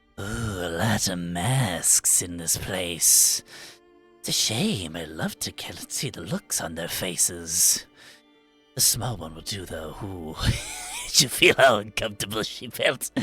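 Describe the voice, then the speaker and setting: A man's put-on character voice, very deep and low, at a fairly slow pace with faint music in the background. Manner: menacing, gleeful, predatory.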